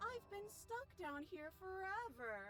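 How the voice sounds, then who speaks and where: A woman's put-on character voice, extremely high in pitch, at a fairly slow pace over clear background noise. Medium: game stream. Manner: false sweetness with threatening edge.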